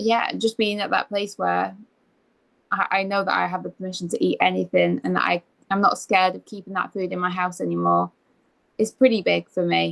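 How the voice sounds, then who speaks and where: A woman talks at a moderate pace in an English accent. The sound is dry and close with no echo. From England. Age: 20s. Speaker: eating disorder recovery coach. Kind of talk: interview.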